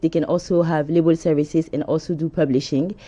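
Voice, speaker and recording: A woman speaks in a French accent at a fairly low pitch. Her tone is dark and mellow, and the background is quiet. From France. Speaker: music company co-founder. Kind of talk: studio interview. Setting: studio. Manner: hesitant.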